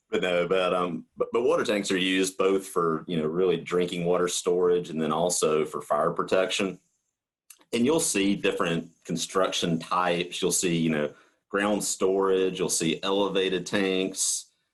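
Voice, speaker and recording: In a Southern US accent, a man speaks at a moderate pace with a very deep, low pitch and fairly even intonation. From US South. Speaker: coatings market manager. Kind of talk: podcast interview. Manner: halting, many fillers and repeats.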